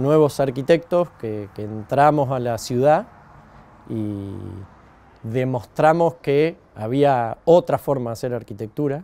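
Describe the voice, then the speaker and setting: A man's fairly high, dark, mellow voice with lively intonation at a fairly slow pace. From Argentina, Buenos Aires province (Saladillo); Buenos Aires province, Argentina. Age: 40s. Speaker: architect. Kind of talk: interview monologue; interview answer. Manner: hesitant, many fillers. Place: farm machine.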